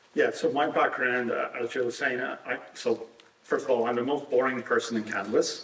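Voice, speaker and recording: A man is speaking in a room with audible echo. Noticeable background noise sits behind him. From Ireland, Dublin. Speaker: cannabis regulatory consultant. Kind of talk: conference panel talk. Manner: halting, many fillers.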